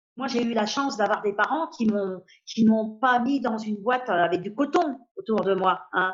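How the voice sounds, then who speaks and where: A woman's fairly high voice unfolds at a fairly slow pace, its pitch varying in an ordinary way. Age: 60s. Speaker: patient with a rare disease. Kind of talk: interview testimony. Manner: hesitant, with many fillers.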